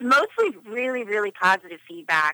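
A speaker with an American accent talks at a moderate pace, with a dry, close sound and no echo. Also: woman. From Philadelphia, Pennsylvania. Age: 30s. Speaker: photographer. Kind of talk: radio interview. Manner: hesitant, many fillers.

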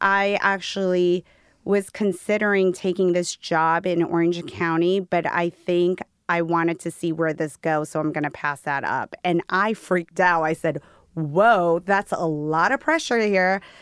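A woman speaks in an ordinary speaking voice at a fairly slow pace, her pitch fairly low with ordinary variation, in a dry, close sound with no echo. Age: 40s. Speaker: skincare company founder. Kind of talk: interview.

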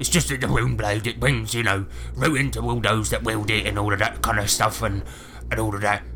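Against clear background noise, a man puts on a character voice at a fairly low pitch and a fairly quick pace. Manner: angry, sweary, gloating.

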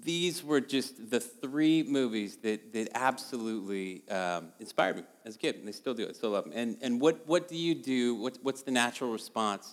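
A man's normal speaking voice at a moderate pace, with lively intonation. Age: 40s. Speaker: artist and designer. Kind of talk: storytelling talk to a church audience.

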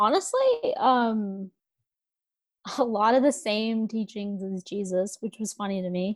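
A woman's fairly high-pitched, normal speaking voice with an American accent, fairly slow in pace, dry and close with no echo. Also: ordinary pitch variation. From India, raised in US from age five. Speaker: ex-Evangelical social media creator. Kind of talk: casual interview chat.

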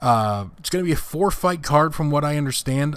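A man's voice with ordinary pitch variation. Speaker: boxing podcast host. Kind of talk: solo podcast monologue on boxing news. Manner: conversational, hesitant with filler words.

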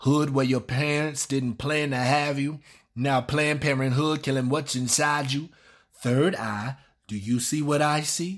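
Over a very clean recording with a silent background, a man with an unremarkable speaking voice talks at a fairly slow pace, his pitch fairly high and his intonation fairly even. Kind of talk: spoken word poem. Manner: rhythmic, punchy, rhyme-driven delivery; defiant, confrontational, boastful.

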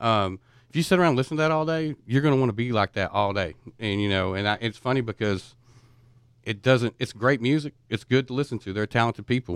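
On a very clean recording with a silent background and a dry, close sound with no echo, a man speaks at a very fast pace at a medium pitch. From East Texas. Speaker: guest, family friend of host. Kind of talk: casual chat. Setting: studio.

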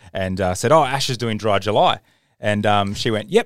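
With an Australian accent, a man talks at a fairly low pitch. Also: very clean recording, silent background. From Queensland, Australia. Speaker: podcast host. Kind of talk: casual chat. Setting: studio.

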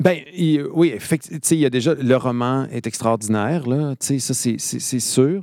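The voice has a dark, mellow tone and moves at a fairly slow pace. The recording is very clean, with a silent background. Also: man, medium pitch for a man, ordinary pitch variation. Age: 40s. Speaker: theatre director. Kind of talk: casual chat. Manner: halting.

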